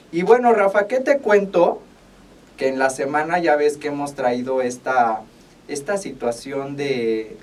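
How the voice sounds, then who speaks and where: Lively intonation marks this man's fairly high-pitched voice as he talks at a fairly slow pace over noticeable background noise. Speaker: radio host and veterinarian. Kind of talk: casual radio chat. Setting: radio studio.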